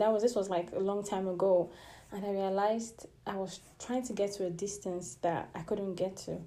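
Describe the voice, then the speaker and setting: A woman with a dark, mellow tone and medium pitch speaks at a moderate pace with fairly even intonation and audible room echo. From Nigeria. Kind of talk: devotional sermon.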